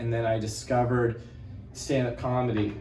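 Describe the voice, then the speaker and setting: Audible room echo surrounds a man speaking with music in the background. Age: 20s. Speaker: stand-up comedian. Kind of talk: casual interview chat.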